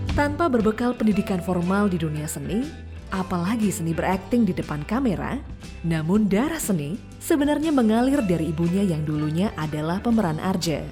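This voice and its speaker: A woman talks fairly quickly, with music in the background. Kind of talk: documentary narration.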